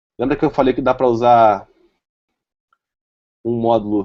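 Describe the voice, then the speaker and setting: A man's medium-pitched voice at a moderate pace. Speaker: software developer presenter. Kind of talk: tech talk with live demo.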